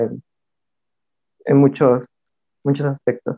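This man's voice sits at a medium pitch and stays monotone and flat in intonation. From Mixtec community, coast of Oaxaca, Mexico. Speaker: artist collective member. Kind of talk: casual discussion.

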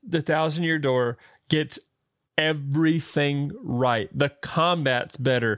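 A man with a Southern US accent talks at a very slow pace in a fairly high voice. His loudness stays very even, and his pitch varies in an ordinary way. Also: very clean recording, silent background. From US South. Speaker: podcast co-host. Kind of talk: casual chat. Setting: live stream with chat.

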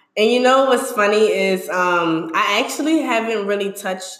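A woman with an American accent and ordinary pitch variation, against noticeable background noise. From New Orleans, Louisiana. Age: young. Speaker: cosmetics business owner and student. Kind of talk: casual interview.

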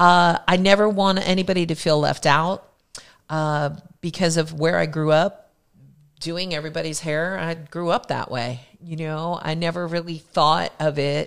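In an American accent, a woman with a normal speaking voice and a fairly low pitch speaks at a moderate pace with fairly even intonation, on a very clean recording with a silent background. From Philadelphia and New Jersey, US. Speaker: hairdresser and beauty educator. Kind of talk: casual chat.

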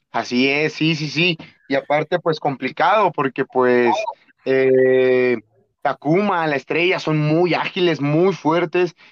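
At a very slow pace, a man talks in a fairly high voice. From Mexico, Atlixco, Puebla. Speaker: professional wrestler. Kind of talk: interview.

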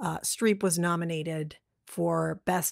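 Speaking at a very slow pace, a woman with an American accent has a fairly low pitch and fairly even intonation. The recording is very clean with a silent background, dry and close with no echo. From Massachusetts, north of Boston. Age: 40s. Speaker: podcast co-host, film discussion. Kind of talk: casual chat.

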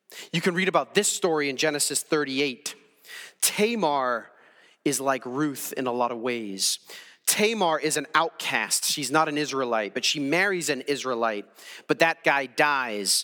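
Bright and sharp in tone, a man speaks fairly slowly at a fairly high pitch with lively intonation. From Wales. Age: 40s. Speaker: pastor. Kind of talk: sermon.

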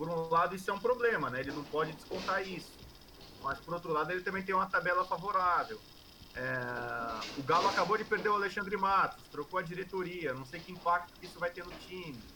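A man talks at a fairly quick pace in a high pitch. His loudness swings widely. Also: ordinary pitch variation. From Brazil, São Paulo. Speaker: sports journalist and commentator. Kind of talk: interview.

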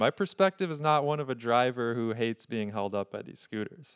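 A man speaks at a moderate pace and medium pitch in a normal speaking voice. The sound is dry and close with no echo, in a very clean recording with a silent background. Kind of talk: casual chat.

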